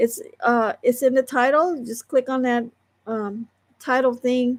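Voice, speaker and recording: At a fairly slow pace, a woman speaks high in pitch with monotone, flat intonation, recorded very cleanly against a silent background. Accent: American. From Southern California. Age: 60s. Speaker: online creator and crafter. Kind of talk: casual livestream chat. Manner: rambling, halting speech with fillers.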